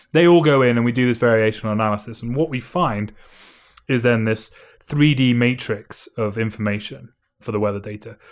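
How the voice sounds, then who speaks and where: A man with a British accent at a fairly quick pace, in a very clean recording with a silent background. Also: medium pitch for a man, ordinary pitch variation. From Britain. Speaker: mathematician and physicist. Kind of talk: interview. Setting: in person over drinks.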